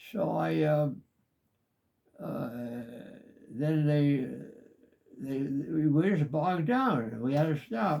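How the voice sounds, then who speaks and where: At a very slow pace with long, frequent pauses, a man with a fairly high pitch and a dark, mellow tone speaks with lively intonation. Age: 80s+. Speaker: war veteran. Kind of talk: interview answer.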